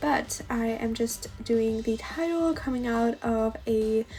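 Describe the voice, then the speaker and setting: Very slow speech from a woman at a fairly high pitch with ordinary pitch variation, with music in the background. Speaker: bullet journal YouTuber. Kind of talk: tutorial. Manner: casual, hesitant with fillers.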